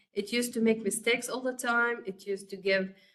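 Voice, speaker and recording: A woman speaks with an Arabic accent. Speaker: course instructor. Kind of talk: lecture. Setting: webcast. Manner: halting, many fillers.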